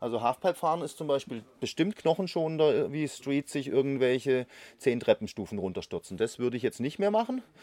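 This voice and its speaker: A man speaks at a fairly quick pace with a fairly high pitch and lively intonation, his tone dark and mellow. The sound is dry and close with no echo, in a very clean recording over a silent background. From Konstanz, southwestern Germany. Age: 50s. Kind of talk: interview.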